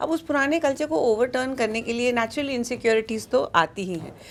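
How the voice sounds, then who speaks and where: A woman speaks at a moderate pace. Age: 60s. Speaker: pediatrician and social worker. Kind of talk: interview. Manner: code-switching Hindi and English.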